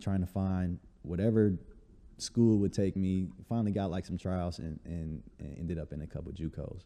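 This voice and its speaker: A man with a very deep, low voice, dark and mellow in tone, in an American accent at a fairly quick pace. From Chicago, north side (Uptown). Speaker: basketball trainer and fitness entrepreneur. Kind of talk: casual interview chat.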